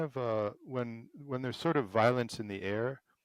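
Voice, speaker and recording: With an American accent, a man speaks at a fairly slow pace with ordinary pitch variation in a dry, close sound with no echo. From Madison, Wisconsin. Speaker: podcast host. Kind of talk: interview.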